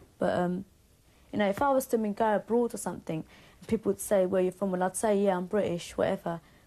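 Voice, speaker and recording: A woman with a Cockney accent speaks at a very fast pace in a dark, mellow tone, at a medium pitch with fairly even intonation. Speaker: band member. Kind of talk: interview.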